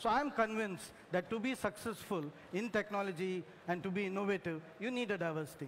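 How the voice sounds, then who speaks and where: A man's high-pitched voice with ordinary pitch variation and a Telugu accent, at a fairly quick pace. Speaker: engineer, corporate tech executive. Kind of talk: panel discussion. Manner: hesitant, many fillers.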